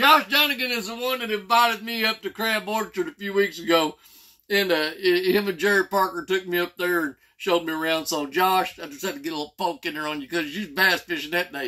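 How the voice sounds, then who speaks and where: With a bright, sharp tone, a man speaks in a raised, projected voice at a fairly quick pace. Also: lively intonation, quiet background. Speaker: fishing vlogger. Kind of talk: casual vlog chat. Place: home room. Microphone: phone near.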